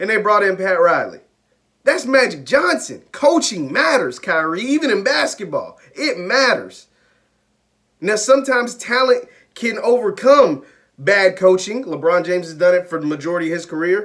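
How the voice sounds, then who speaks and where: Energetic and high-pitched, a man speaks at a moderate pace with very wide pitch swings. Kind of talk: sports commentary to camera. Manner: energetic, opinionated, emphatic.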